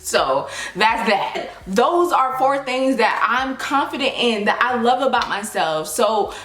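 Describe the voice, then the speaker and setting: Over noticeable background noise and audible room echo, a woman speaks in a fairly high pitch. Her tone is animated and passionate, with lively intonation. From US South. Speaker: YouTuber, lifestyle vlogger. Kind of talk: casual vlog talk to camera. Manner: animated, passionate.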